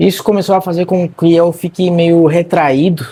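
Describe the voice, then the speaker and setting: This man has a fairly high pitch and a dark, mellow tone, speaking at a moderate pace. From Argentina. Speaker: marketing content creator. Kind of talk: personal vlog monologue. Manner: casual, conversational.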